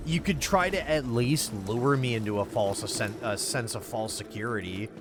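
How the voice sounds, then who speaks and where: A man with an American accent and a fairly low pitch speaks amid audible room echo, with music in the background. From US Midwest. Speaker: video game streamer. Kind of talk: casual chat. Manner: animated.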